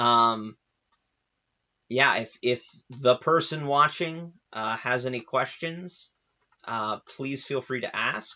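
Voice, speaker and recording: Speaking at a very slow pace, the man leaves long, frequent pauses. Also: medium pitch for a man, ordinary pitch variation. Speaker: painter and artist streaming his work. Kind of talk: casual live-stream chat while painting. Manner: hesitant, many fillers; occasional stutter.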